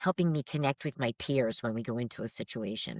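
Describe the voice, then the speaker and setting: A woman with an American accent and a very deep, low pitch is heard on a very clean recording with a silent background, the sound dry and close with no echo. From New England. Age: 60s. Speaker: paranormal investigator. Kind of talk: casual chat.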